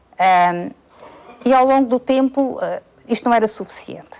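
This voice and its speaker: A woman's voice with ordinary pitch variation is heard amid noticeable background noise. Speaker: medical specialist. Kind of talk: interview. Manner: halting, many fillers.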